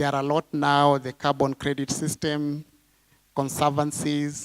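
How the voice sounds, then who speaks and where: The sound is dry and close, free of echo. A man talks at a fairly slow pace. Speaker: congress delegate. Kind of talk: policy proposals at a party congress.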